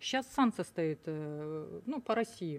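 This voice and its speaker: A woman talks with lively intonation. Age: 60s. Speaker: businesswoman in a bank dispute; guest. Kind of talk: studio talk show discussion. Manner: halting. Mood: aggrieved, indignant. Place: studio. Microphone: studio mic.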